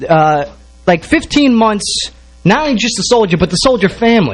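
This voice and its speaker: A man with an American accent speaks in a high voice that swings very widely in pitch. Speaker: radio show host and army sergeant. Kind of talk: live radio show hosting.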